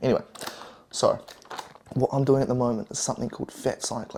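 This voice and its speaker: Speaking with a New Zealand accent, a man has a medium pitch and a dark, mellow tone. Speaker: fitness and diet vlogger. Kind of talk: cooking vlog.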